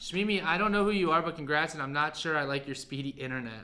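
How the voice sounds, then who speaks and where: Loud and bright, sharp in tone, a man talks at a fairly high pitch with ordinary pitch variation, amid audible room echo. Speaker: livestream pen sale host. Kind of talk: live sale stream chat.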